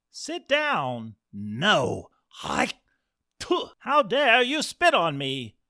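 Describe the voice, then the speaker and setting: A man's put-on character voice, high in pitch and delivered at a very slow pace. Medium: read story.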